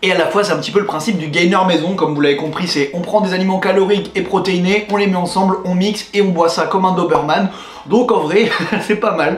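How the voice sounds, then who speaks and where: A high-pitched man talks at a very fast pace. Audible room echo and noticeable background noise fill the recording. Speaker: fitness youtuber. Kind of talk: vlog. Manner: animated.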